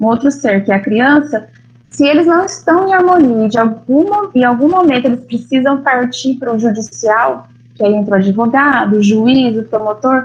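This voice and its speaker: Her voice is high-pitched with lively intonation. The woman keeps a moderate pace and very even loudness. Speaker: family lawyer. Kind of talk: lecture.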